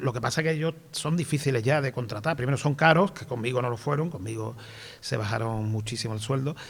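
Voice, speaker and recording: A man speaks very fast in a somewhat breathy voice. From Andalusia, Spain (small town near Seville). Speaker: film director and screenwriter. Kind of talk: interview on stage.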